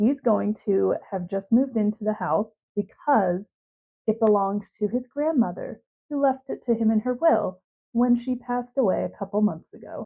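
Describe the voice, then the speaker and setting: A woman's somewhat breathy, fairly high voice with a dark, mellow tone at a moderate pace. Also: ordinary pitch variation. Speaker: gaming YouTuber. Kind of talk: casual gameplay commentary.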